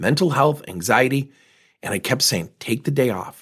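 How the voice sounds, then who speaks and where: A man talks at a moderate pace in an energetic tone, his pitch fairly high with vocal fry. The recording is very clean, with a silent background. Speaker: business coach podcast host. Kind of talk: monologue podcast episode with coaching advice. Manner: direct, energetic.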